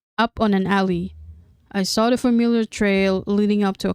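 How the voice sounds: Fairly even intonation in a natural reading voice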